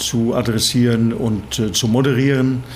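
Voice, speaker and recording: A man's medium-pitched voice at a very slow pace with monotone, flat intonation, plus audible room echo and noticeable background noise. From Norway, Bergen. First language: Norwegian (speaking German). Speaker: management consultant. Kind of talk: interview.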